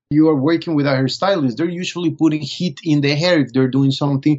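A man speaks with a Spanish accent at a fairly high pitch. His pace is fairly quick and his pitch variation is ordinary. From Colombia. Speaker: fashion photographer. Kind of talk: interview.

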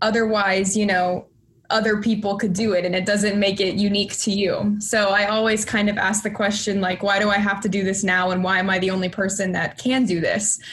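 With an American accent, a woman at a medium pitch talks at a fairly quick pace with hardly any pauses. Her intonation is monotone and flat, her loudness very even, and noticeable background noise sits behind her. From Texas. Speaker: film student and entrepreneur. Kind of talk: interview.

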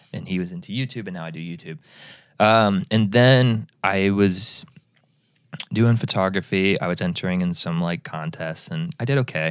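A man speaks in a plain, everyday voice at a fairly low pitch. His intonation is lively and his pace moderate. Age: 20s. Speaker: video editor. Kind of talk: casual chat.

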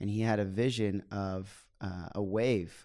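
A man's fairly low, plain, everyday voice with an American accent and fairly even intonation, in a very clean recording with a silent background. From Oklahoma, US. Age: 20s. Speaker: missionary and worship leader. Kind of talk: casual podcast chat. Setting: studio recording in London.

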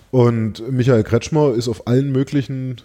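At a fairly slow pace, the speech carries a dark, mellow tone. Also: man. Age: 30s. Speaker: politician. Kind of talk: interview. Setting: office.

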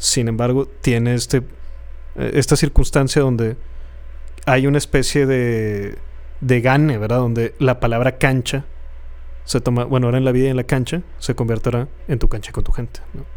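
Long, frequent pauses interrupt talking that otherwise keeps a moderate pace. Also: man. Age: 30s. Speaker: podcast co-host. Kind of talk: casual chat.

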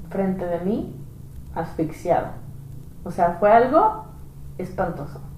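Amid noticeable background noise and audible room echo, a woman speaks with fairly even intonation and long, frequent pauses. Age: 30s. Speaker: evangelist. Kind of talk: religious podcast conversation.

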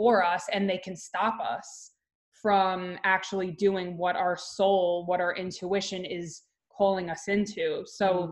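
At a fairly slow pace, a woman speaks at a medium pitch with monotone, flat intonation. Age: 30s. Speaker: wellness coach. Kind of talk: casual chat. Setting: video call.

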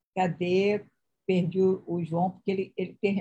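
A woman with a somewhat breathy, dark, mellow voice of medium pitch speaks at a moderate pace. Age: 40s. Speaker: live-stream host. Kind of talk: casual interview on live stream. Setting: live video stream.

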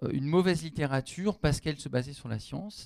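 Here is an unremarkable speaking voice with lively intonation. The recording is very clean, with a silent background. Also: man. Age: 40s. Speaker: university lecturer and novelist. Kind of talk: public panel discussion. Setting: stage with audience.

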